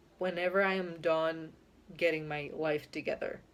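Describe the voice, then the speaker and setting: A woman with a Spanish accent speaks at a very slow pace. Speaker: YouTuber. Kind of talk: casual vlog monologue. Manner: hesitant, with fillers.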